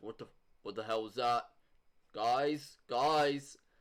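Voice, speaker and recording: A man puts on a gruff character voice at medium pitch. His pace is very slow and his intonation fairly even. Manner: alarmed, startled.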